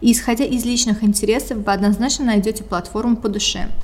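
A woman talks at a fairly quick pace in a fairly high pitch, with noticeable background noise behind her. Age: 20s. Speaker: podcast host. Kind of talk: scripted monologue.

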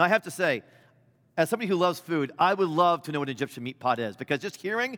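A man with a high pitch and a bright, sharp tone speaks at a very fast pace. His intonation is lively. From US Midwest. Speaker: bishop. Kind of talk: sermon. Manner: loud at times.

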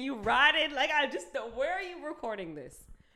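A woman speaks in a raised, projected voice at a moderate pace. Music plays in the background. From Jamaica. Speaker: podcast co-host. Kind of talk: casual chat.

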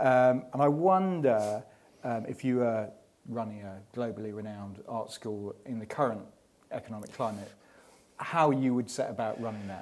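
A man has an ordinary speaking voice at medium pitch, talking at a moderate pace with ordinary pitch variation. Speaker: magazine editor. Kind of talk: live interview and event hosting. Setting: showroom with live audience.

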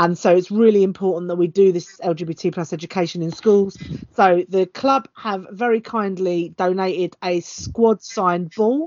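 The speaker goes at a moderate pace. The pitch varies an ordinary amount. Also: woman, medium pitch for a woman. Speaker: football fan and podcast guest. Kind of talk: casual chat about football.

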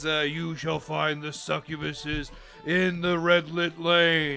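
Over clear background noise, a man puts on a character voice at a fairly high pitch and a fairly slow pace. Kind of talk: theatrical riddle-posing. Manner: playful, mock-menacing, jolly.

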